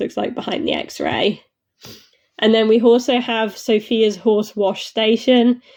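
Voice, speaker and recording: The speaker is a woman with a British accent. Her pitch is fairly high. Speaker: model horse reviewer. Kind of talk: casual reaction video. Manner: hesitant, many fillers.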